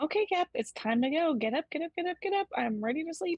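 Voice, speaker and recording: In a put-on character voice, a woman goes squeaky at an extremely high pitch, with very wide pitch swings at a very fast pace. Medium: actual play.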